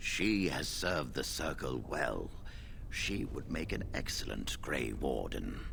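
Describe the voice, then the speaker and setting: A man puts on a character voice at a fairly slow pace. Loud background noise fills the clip. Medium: video game. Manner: calm, composed.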